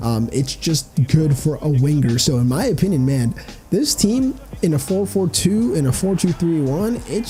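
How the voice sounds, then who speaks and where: The voice belongs to a man. Music plays in the background. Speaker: gaming youtuber. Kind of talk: gameplay commentary voiceover. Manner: casual, many filler ums.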